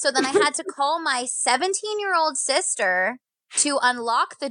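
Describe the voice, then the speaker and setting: Loud and animated, the voice has lively intonation and a bright, sharp tone. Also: woman. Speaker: radio phone screener and social media producer. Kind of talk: casual chat.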